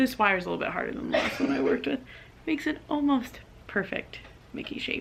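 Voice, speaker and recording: Noticeable background noise fills the recording. Through it, a woman speaks at a very fast pace. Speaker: vlogger. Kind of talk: tutorial.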